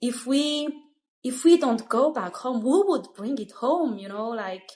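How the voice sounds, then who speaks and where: A woman's high voice with a Malagasy accent, fairly slow, lively in intonation, with big swings in loudness. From Madagascar. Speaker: Montessori school founder. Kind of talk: interview. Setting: studio. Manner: halting.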